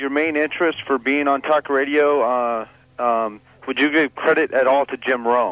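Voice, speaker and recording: A plain, everyday voice from a man, fairly high in pitch, at a moderate pace with fairly even intonation. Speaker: sports radio host / interviewer. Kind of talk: sports talk radio interview questions.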